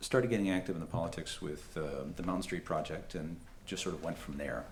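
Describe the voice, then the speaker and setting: A man with a very deep, low pitch and vocal fry talks at a very fast pace with ordinary pitch variation. Room echo is audible. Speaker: political candidate. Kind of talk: candidate forum speech. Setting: public forum with audience and microphone. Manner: halting, many fillers.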